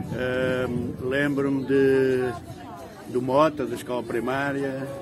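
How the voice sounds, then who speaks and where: Very slowly and in a monotone, flat intonation, a man talks at a medium pitch, with audible room echo and noticeable background noise. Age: 60s. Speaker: local resident interviewee. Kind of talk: interview reminiscence. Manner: halting, many fillers.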